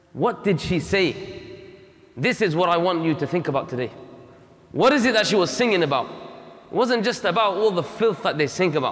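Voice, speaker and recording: Speaking with lively intonation, a man keeps to a moderate pace. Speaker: preacher. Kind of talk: sermon. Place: hall. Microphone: lapel.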